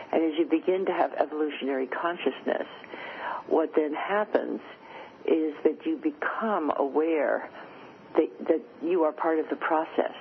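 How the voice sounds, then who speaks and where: Noticeable background noise fills the recording. Over it, a woman speaks at a moderate pace. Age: 80s+. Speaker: futurist and author. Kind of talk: interview.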